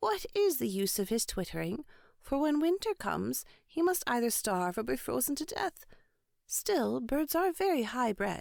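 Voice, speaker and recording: A woman's high-pitched put-on character voice at a moderate pace, on a very clean recording with a silent background. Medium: read story. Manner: homely, chatty.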